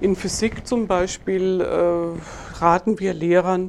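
A woman with an ordinary speaking voice, fairly low in pitch, with fairly even intonation. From Germany, northern Hesse near Marburg. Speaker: professor and intelligence researcher. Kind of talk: interview.

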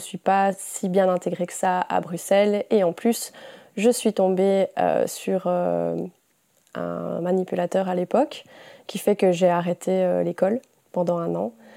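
Medium in pitch, a woman speaks in a dark, mellow tone. Her pace is very slow. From Belgium. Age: 20s. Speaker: podcaster. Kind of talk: casual monologue. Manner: spontaneous, unscripted.

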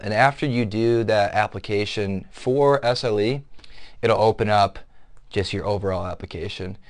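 A man speaks with a fairly low-pitched voice. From Southwest Michigan. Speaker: military academy cadet. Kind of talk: interview. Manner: hesitant, many fillers.

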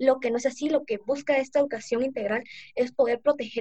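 Speaking at a fairly quick pace, a woman with a high pitch and a dark, mellow tone keeps her intonation fairly even. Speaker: youth network member. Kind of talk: podcast interview.

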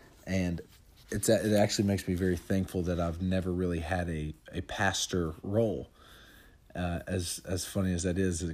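The voice moves at a moderate pace in a monotone, flat delivery, captured in a very clean recording against a silent background. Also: man. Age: 20s. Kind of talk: casual reflective monologue. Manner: casual, halting with fillers.

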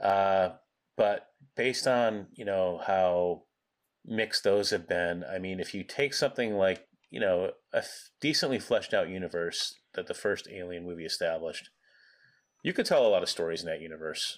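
The recording is very clean with a silent background, and on it a man talks at a moderate speed. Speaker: podcast host. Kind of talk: casual chat. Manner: joking, laughing.

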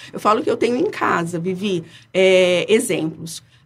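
This woman has a normal speaking voice at a medium pitch. Her pitch varies in an ordinary way. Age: 40s. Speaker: product consultant. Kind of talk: interview. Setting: studio.

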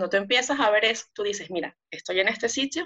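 A woman with a normal speaking voice, fairly high in pitch, speaks with lively intonation. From Venezuela. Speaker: migrant guest. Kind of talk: testimony.

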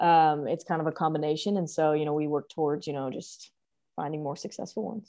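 Against a quiet background, a woman with an American accent speaks very fast in a very deep, low pitch with a dark, mellow tone and ordinary pitch variation. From Texas, The Woodlands. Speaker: student charity organizer. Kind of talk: casual interview.

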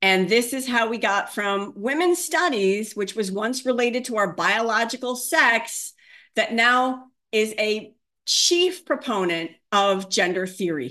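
A woman's fairly high voice, an ordinary speaking voice, with lively intonation at a fairly slow pace against a quiet background. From USA. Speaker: former women's studies professor. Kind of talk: lecture.

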